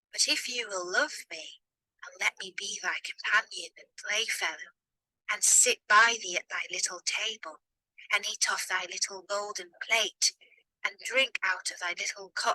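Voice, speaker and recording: In a put-on character voice, a woman speaks at a moderate pace. Her pitch sits fairly high. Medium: read story. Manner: old-fashioned formal speech.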